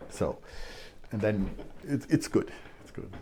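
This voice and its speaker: A man's somewhat breathy, dark and mellow voice at a moderate pace, with a German accent. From Germany. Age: 60s. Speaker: scientist and language student. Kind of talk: casual interview. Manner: halting.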